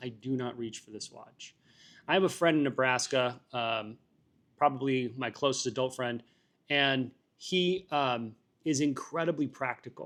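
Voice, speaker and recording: Behind a quiet background, a man speaks at a moderate pace. His pitch is fairly high and his intonation fairly even. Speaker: watch collector vlogger. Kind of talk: casual monologue review. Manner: loud; hesitant, many fillers.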